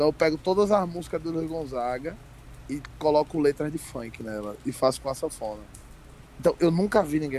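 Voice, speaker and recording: A man's dark, mellow voice sits fairly high in pitch, with lively intonation at a moderate pace. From Brazil, Sergipe (Aracaju area). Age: 20s. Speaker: stand-up comedian. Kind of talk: casual chat. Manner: animated.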